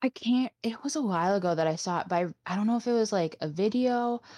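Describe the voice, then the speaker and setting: A woman with an American accent speaks at a moderate pace with lively intonation, in an unremarkable speaking voice. The background is quiet. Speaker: podcast co-host. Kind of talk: casual chat.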